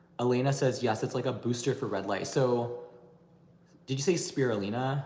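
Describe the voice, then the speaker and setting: There is audible room echo as a man talks at a moderate pace in a medium pitch with fairly even intonation. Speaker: beauty and anti-aging YouTuber. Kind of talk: livestream Q&A chat. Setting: livestream.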